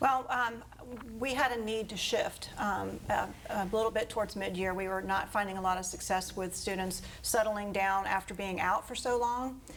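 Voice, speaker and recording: A woman with an American accent speaks at a moderate pace in an unremarkable speaking voice, her medium pitch held in fairly even intonation. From Florida, Fort Pierce. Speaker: school principal. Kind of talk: interview.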